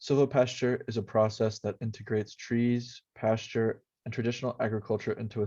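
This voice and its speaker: This man talks at a fairly quick pace in a flat, monotone way, his medium-pitched voice dark and mellow against a quiet background. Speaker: university student. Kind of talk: class presentation narration.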